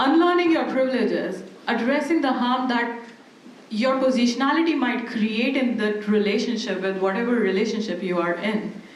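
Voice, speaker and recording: A woman with a fairly high pitch and a non-native accent speaks at a moderate pace with lively intonation. There is audible room echo and noticeable background noise. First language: not English. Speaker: academic panelist. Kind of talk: panel discussion.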